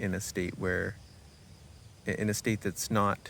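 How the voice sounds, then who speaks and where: A man talks at a fairly slow pace in a fairly low pitch. His tone is relaxed and his intonation monotone and flat. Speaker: self-development vlogger. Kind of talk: personal reflection monologue. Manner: halting.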